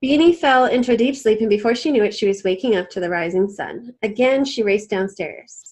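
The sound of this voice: A woman speaks at a fairly quick pace with a medium pitch, lively intonation and a slightly mellow tone.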